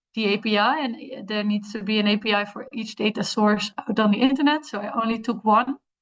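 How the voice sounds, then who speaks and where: Fairly even intonation from a woman at a fairly high pitch. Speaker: fellowship participant presenting project. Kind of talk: project presentation. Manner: halting, many fillers; fast.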